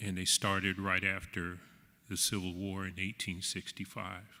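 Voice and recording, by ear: Speaking at a fairly slow pace, a man has a low pitch with little pitch movement. His tone is bright and sharp.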